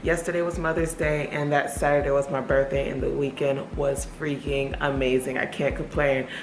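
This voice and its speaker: A woman with a very deep, low voice talks at a moderate pace in a flat monotone, with hardly any pauses. Room echo and noticeable background noise can be heard. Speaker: lifestyle vlogger. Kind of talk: vlog narration. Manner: casual, chatty.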